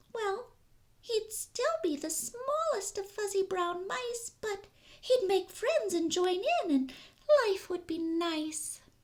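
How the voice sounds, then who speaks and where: A put-on character voice, squeaky and extremely high in pitch. It sounds timid and moves at a fairly slow pace. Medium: read story. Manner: small, timid, squeaky.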